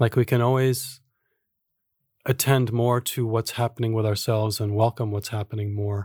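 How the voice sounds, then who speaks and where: A man with an American accent speaks at a medium pitch, somewhat breathy and in a monotone, flat delivery. The recording is very clean with a silent background, and the sound is dry and close with no echo. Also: moderate pace. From US. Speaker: authentic relating teacher and author. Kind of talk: casual chat.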